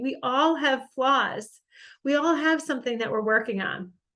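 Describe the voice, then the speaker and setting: A woman speaks at a moderate pace in a high voice with ordinary pitch variation against a quiet background. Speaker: personal development coach. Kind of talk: motivational talk. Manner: animated.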